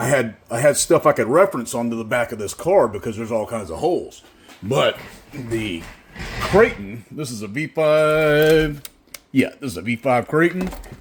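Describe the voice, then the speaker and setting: Speaking with an American accent at a moderate pace, a man uses medium pitch, lively intonation and big swings in loudness over noticeable background noise. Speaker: RC car builder and parts maker. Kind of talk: workshop tutorial. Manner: casual, thinking aloud.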